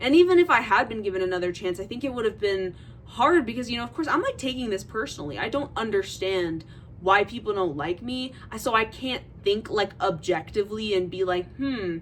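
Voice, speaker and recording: With noticeable background noise behind her, a woman speaks at a fairly quick pace in a fairly high voice with lively intonation. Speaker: vlogger. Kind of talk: casual chat. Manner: halting.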